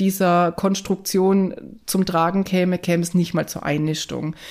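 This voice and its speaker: An unremarkable speaking voice moves at a fairly slow pace with fairly even intonation in a very clean recording with a silent background. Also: woman. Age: 30s. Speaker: guest sharing fertility journey. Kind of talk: personal interview testimony.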